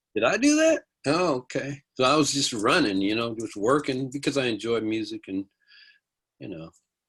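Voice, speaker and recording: Against a quiet background, a man with an American accent uses an ordinary speaking voice at medium pitch. He keeps a moderate pace and lively intonation. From US, army bases in California. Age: 60s. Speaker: music producer and songwriter. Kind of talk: interview.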